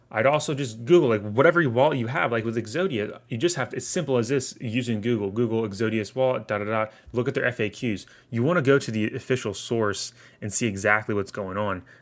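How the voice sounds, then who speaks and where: A man talking very fast with ordinary pitch variation, on a very clean recording with a silent background. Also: medium pitch for a man. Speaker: crypto YouTuber. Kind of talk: casual Q&A tutorial reading comments. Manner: repetitive, stammering restarts.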